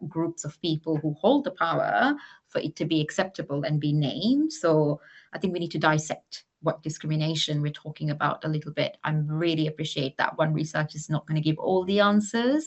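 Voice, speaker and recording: A woman with a Maldivian accent speaks at a moderate pace in a very deep, low pitch. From Maldives. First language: not English. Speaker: climate charity executive. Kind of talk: panel discussion. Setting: webinar.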